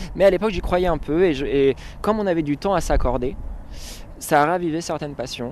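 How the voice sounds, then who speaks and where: At a fairly quick pace, the man speaks with ordinary pitch variation. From France, Touraine. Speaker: singer-songwriter. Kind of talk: casual interview. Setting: at home. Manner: hesitant.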